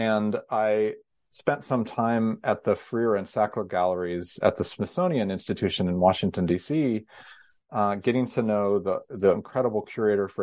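Using a plain, everyday voice, a man with a General American accent speaks at a moderate pace with ordinary pitch variation. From US West Coast (Northern California). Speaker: history professor and author. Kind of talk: interview. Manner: frequent fillers and restarts.

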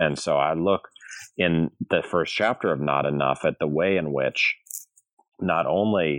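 Heard in a dry, close sound with no echo, a man with an American accent speaks at a very deep, low pitch with vocal fry. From US Midwest, St. Louis, Missouri. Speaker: law and history professor, author. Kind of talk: interview about his book. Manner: halting, many fillers and repeated words.

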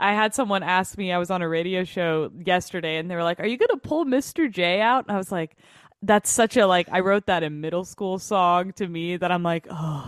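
With an American accent, a woman speaks at a moderate pace. Her medium pitch varies in an ordinary way. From Kansas City area, US Midwest. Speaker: singer-songwriter. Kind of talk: casual interview chat. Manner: animated.

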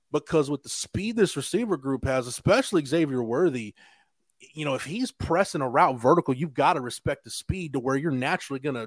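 Here is a man with an unremarkable speaking voice, fairly high in pitch and lively in intonation. He talks at a fairly quick pace, in a dry, close sound with no echo. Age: 40s. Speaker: college football reporter. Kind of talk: casual chat. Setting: video call.

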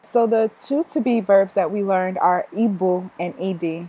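In a plain, everyday voice, a woman speaks at medium pitch with fairly even intonation and a fairly slow pace. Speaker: student co-host learning Igbo. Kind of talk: casual language lesson.

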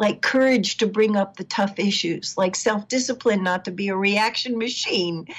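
At a fairly high pitch, a woman speaks fairly slowly in an unremarkable speaking voice with ordinary pitch variation. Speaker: relationship counselor. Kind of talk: casual interview.

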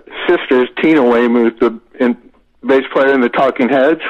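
This man, with an American accent, holds a medium pitch and fairly even intonation. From Florida. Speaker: rock singer. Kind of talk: casual interview.

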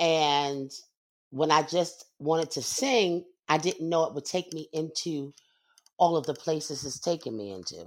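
At a fairly slow pace, a woman with a very deep, low voice speaks in an animated tone with ordinary pitch variation, on a very clean recording with a silent background. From Brooklyn, New York. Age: 50s. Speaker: singer and actress. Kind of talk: interview. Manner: animated, frequent laughter.

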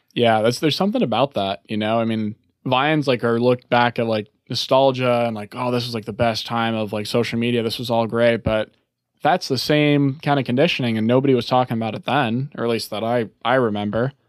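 A man with an American accent speaks at a fairly quick pace in a plain, everyday voice, medium in pitch with fairly even intonation. The recording is very clean with a silent background, dry and close with no echo. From Chicago, US Midwest. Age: 20s. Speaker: private jet pilot. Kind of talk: casual interview chat. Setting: studio.

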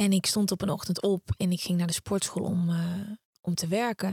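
A somewhat breathy woman at a moderate pace with fairly even intonation, in a dry, close sound with no echo. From Netherlands, Brabant (Uden). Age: 30s. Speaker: podcaster and author, former TV presenter. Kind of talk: interview.

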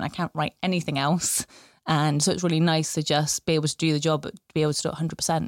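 A woman speaks at a very deep, low pitch. The recording is very clean and dry, with a silent background and no echo. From Bristol, England. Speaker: local democracy reporter. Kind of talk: casual interview chat.

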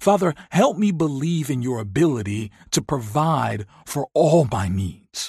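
Over a quiet background, a somewhat breathy man speaks at a fairly slow pace with very wide pitch swings, the sound dry and close with no echo. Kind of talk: fervent spoken prayer interwoven with scripture quotations. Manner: earnest, pleading supplication addressed directly to God.

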